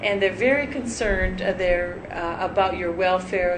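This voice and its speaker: A woman talks at a moderate pace with a medium pitch and ordinary pitch variation. Room echo is audible and background noise is noticeable. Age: 60s. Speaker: cosmetic surgery patient, nurse. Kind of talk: interview testimonial. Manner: halting, many fillers.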